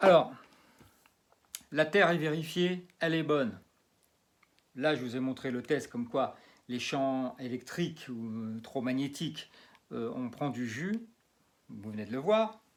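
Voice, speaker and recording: With long, frequent pauses at a very slow pace, a man of medium pitch speaks with lively intonation in a very clean recording with a silent background. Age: 60s. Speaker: magnetic healer and geobiologist. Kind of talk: demonstration video. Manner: halting, many fillers and repetitions.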